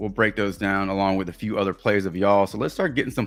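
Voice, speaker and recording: With music in the background, a man in a Texas accent speaks at a fairly low pitch with monotone, flat intonation. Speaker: sports betting streamer. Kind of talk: live stream chat. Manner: casual, conversational.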